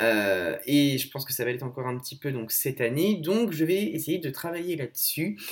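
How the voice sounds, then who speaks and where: A man speaks at a moderate pace in an ordinary speaking voice, his fairly high pitch carried by lively intonation. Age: 20s. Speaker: blogger and content creator. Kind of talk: recorded advice message.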